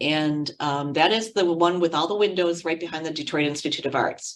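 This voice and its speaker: Speaking at a moderate pace, a woman has a fairly low pitch. She has a plain, everyday voice. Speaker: college program staff presenter. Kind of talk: online information session Q&A.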